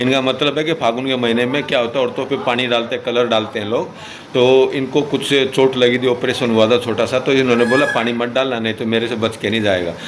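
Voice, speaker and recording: Over noticeable background noise, a man at a medium pitch talks at a moderate pace with hardly any pauses. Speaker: vlogger. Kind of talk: casual interview.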